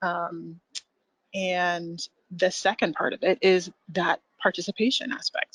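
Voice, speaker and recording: The woman speaks with a Californian accent in a dry, close sound with no echo. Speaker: education program presenter. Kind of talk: webinar presentation.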